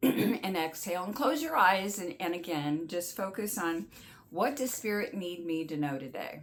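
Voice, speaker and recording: At a moderate pace, a woman speaks at medium pitch with lively intonation. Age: 60s. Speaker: oracle card reader and channel host. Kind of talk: casual spiritual guidance talk to camera; guided breathing exercise. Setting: home studio with artwork behind her. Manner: halting, with fillers and restarts; gentle, calm.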